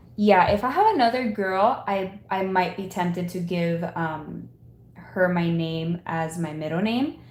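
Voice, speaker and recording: A woman at a medium pitch, with audible room echo. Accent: American. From Miami, Florida (Cuban family). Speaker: Etsy seller and content creator. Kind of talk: casual chat while working (live stream). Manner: casual, filler-heavy.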